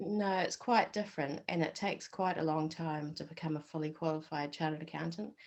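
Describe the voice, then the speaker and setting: Speaking with a New Zealand accent, a woman with a very deep, low pitch talks at a fairly quick pace with hardly any pauses and ordinary pitch variation. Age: 40s. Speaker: accountant. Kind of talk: interview.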